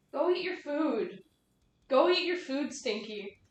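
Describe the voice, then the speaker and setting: This put-on character voice is high-pitched. It moves at a fairly slow pace. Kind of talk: cutesy pet-talk.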